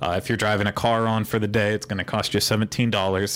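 Fast talk from a man with a Pittsburgh accent, fairly low in pitch with a fairly bright tone and little pitch movement. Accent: American, Pittsburgh.

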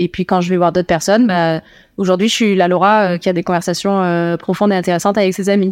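At a very fast pace, a woman with a medium pitch speaks in a monotone, flat way at very even loudness, in a dry, close sound with no echo and a very clean recording with a silent background. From Toulouse, southwest France. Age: 30s. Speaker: student dietitian. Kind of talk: casual chat. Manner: laughs often.

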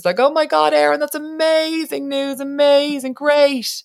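A woman with a Dublin accent speaks at a moderate pace with very wide pitch swings. The recording is very clean, with a silent background. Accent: Dublin Irish. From Ireland, Dublin. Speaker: radio broadcaster, podcast co-host. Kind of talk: casual chat.

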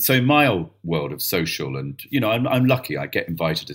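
Vocal fry runs through a man's fairly quick speech. He swings his pitch very widely. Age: 50s. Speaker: theatre director. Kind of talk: casual chat.

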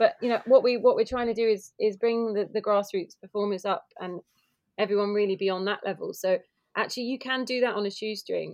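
A woman talks at a fairly quick pace and a fairly high pitch. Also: ordinary pitch variation. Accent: southern English. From Kent, southeast England. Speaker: pride organiser. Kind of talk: casual chat.

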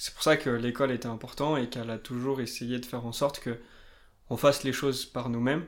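Fairly even intonation in a man's normal speaking voice of medium pitch. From France, Limousin. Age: 20s. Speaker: banker. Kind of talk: casual interview.

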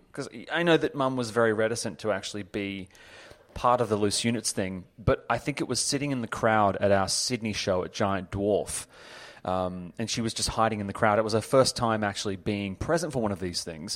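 A man with an Australian accent speaks at a fairly quick pace, his pitch fairly low with ordinary variation. The recording is very clean, with a silent background. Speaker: podcast host and author. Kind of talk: casual chat.

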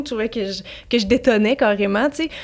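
A woman with an unremarkable speaking voice talks fairly quickly at a fairly high pitch. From Quebec, Montreal. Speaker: YouTuber and influencer. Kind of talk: casual chat.

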